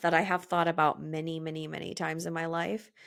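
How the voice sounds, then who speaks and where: In a very clean recording with a silent background, a woman speaks in an animated tone at a very deep, low pitch. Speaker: podcast host and business coach for movement professionals. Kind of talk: solo podcast monologue. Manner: loud.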